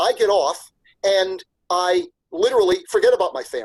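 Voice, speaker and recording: A man speaks with very wide pitch swings. The sound is dry and close, with no echo. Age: 60s. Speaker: business executive and professor. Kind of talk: interview. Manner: animated.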